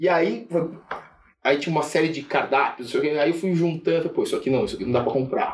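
A man speaks at a fairly quick pace. Noticeable background noise can be heard. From Brazil, Sorocaba (São Paulo state). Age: 40s. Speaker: investment firm founder. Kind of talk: casual chat. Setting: office.

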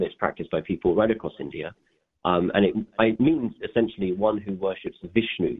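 The speaker has a London accent and lively intonation. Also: man. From England, grew up in Northwest London. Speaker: environmental nonprofit co-founder. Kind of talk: interview. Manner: halting, many fillers and repeats.

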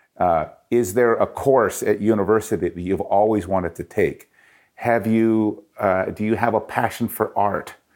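A man speaks in an ordinary speaking voice with a Canadian accent, his pitch fairly low. His intonation is fairly even at a moderate pace, in a very clean recording with a silent background. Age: 50s. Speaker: author and speaker, former radio host and jazz singer. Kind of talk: interview.

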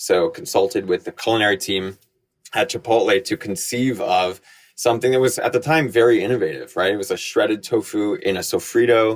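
A man with an American accent uses an ordinary speaking voice at medium pitch and a fairly quick pace, in a very clean recording with a silent background. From US Northeast, Connecticut and New York. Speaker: food company executive. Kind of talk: interview.

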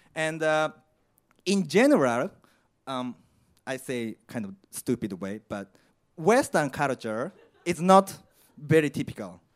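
A man speaks with a Japanese accent. His pitch swings very widely. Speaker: particle physicist. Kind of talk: live storytelling. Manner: halting.

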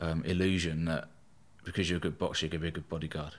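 A man speaks very fast in a very deep, low voice. His intonation stays fairly even. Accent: southern English. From southern England, East Sussex. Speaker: bodyguard and former soldier. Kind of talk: casual interview.

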